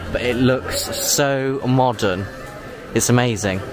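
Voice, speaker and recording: With clear music behind him, a man talks in a dry sound with no echo. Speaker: theme park vlogger. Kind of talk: casual vlog chat. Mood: enthusiastic, impressed. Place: hall. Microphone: phone near.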